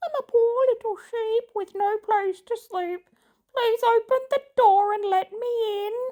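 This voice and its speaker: Soft-spoken and extremely high in pitch, a put-on character voice proceeds at a fairly slow pace. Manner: sweet, coaxing.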